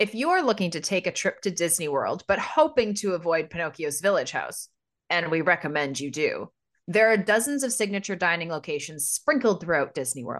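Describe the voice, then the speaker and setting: Against a quiet background, a woman with an ordinary speaking voice talks at a fairly quick pace, her medium pitch carried by lively intonation. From Canada, near Toronto. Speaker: podcast co-host. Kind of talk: casual chat.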